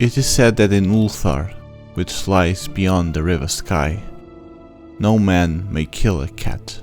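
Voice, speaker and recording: A man speaks very slowly in a very deep, low voice with a non-native accent and lively intonation. Music plays in the background. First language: not English. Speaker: amateur audiobook reader. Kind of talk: horror short story audiobook reading.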